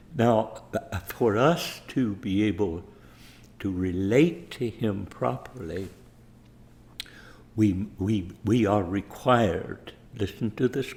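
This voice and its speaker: Somewhat breathy and fairly low, a man talks at a very slow pace with lively intonation and long, frequent pauses. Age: 80s+. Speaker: preacher. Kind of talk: sermon.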